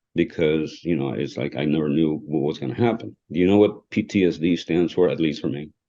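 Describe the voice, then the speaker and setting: A man's very deep, low voice with vocal fry, a non-native accent, ordinary pitch variation, a fairly quick pace and hardly any pauses. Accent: foreign. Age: 60s. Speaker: trial lawyer. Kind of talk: podcast interview. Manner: halting.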